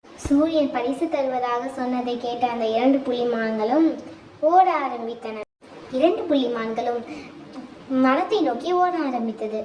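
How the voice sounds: A slightly mellow tone at a moderate pace, with ordinary pitch variation and audible room echo.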